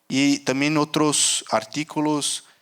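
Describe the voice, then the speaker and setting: A Portuguese accent in a very clean recording with a silent background. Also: man. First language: Portuguese (speaking Spanish). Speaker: rubber market analyst, conference speaker. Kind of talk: conference talk. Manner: halting, many fillers.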